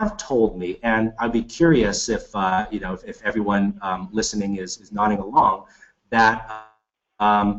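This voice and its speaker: A man with an American accent, an ordinary speaking voice, medium in pitch with ordinary pitch variation and a fairly slow pace. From United States. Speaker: business school executive. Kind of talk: webinar Q&A. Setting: webinar.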